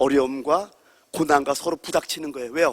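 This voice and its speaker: A man talks at a fairly quick pace. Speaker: pastor. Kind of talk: sermon. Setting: church. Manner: loud; animated.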